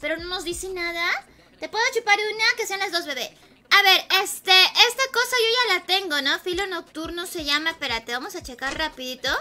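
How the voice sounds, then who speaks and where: Raising and projecting her voice, a woman talks at a fairly quick pace with lively intonation and an extremely high pitch. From Peru. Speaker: gaming streamer. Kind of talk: live gaming stream chat. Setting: at home alone. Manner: animated. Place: home room.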